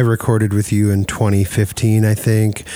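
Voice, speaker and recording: A man with a Midwestern American accent at a fairly slow pace. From US Midwest. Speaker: podcast host. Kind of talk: casual interview. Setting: recording studio.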